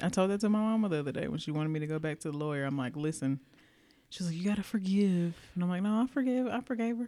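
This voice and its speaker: In a Southern US accent, a woman talks at a very fast pace with a medium pitch, a dark, mellow tone and lively intonation on a very clean recording with a silent background. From US South. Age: 40s. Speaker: podcast co-host. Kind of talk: casual chat.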